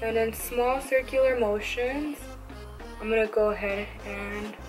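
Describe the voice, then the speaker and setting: There is music in the background. Over it, a woman speaks at a fairly high pitch with fairly even intonation. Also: fairly slow pace. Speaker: makeup tutorial creator. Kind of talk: makeup tutorial voiceover.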